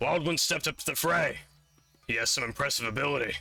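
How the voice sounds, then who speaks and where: A raspy, put-on character voice performs over faint music in the background. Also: man. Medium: actual play. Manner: rambling, hesitant.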